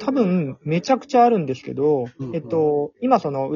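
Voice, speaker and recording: This is a man speaking. His intonation is lively. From Japan, Fukuoka. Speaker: city government tourism official. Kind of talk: casual interview.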